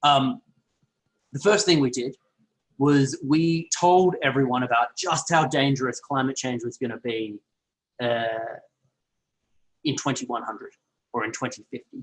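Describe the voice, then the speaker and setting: Speaking in a strong Australian accent, a man with a medium pitch and ordinary pitch variation goes at a fairly slow pace with long, frequent pauses. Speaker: health and climate researcher. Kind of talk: online lecture. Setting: online video call.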